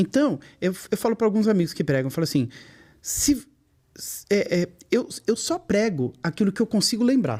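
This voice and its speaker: Pitched high, a man with a dark, mellow tone speaks at a moderate pace, his pitch swinging very widely, with long, frequent pauses. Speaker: gospel singer and preacher. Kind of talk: casual chat. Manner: friendly, natural tone.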